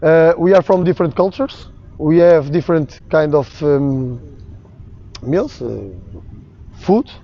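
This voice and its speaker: At a very slow pace, a man with a Portuguese accent and high pitch speaks with ordinary pitch variation over noticeable background noise. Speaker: sports coach and athlete. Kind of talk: seminar lecture. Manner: halting, many fillers.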